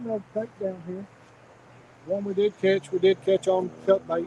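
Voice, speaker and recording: Speaking at a moderate pace, a man with an American accent has a high pitch and fairly even intonation. Noticeable background noise runs underneath. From Kentucky, Bowling Green. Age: 50s. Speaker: fishing channel host. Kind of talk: casual live stream chat. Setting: outdoors on a lake bank.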